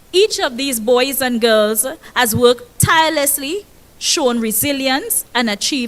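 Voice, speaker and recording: Loud and animated, a woman with a Tobagonian accent speaks at a moderate pace in a high voice with lively intonation. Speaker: school principal. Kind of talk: ceremony speech. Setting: stage with audience.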